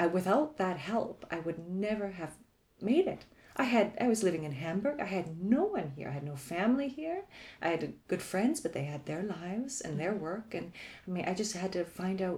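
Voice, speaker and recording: A woman speaks at a moderate pace with lively intonation and a medium pitch. Her tone is dark and mellow, and somewhat breathy. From Canada, Toronto. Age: 40s. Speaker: podcast guest sharing life story. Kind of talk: casual interview.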